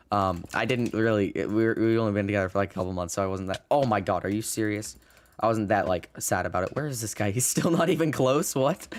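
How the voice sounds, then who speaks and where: This man talks at a very fast pace with lively intonation and a fairly low pitch. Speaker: gaming YouTuber. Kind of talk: gameplay commentary. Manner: halting, stutters and repeats words; casual, swears.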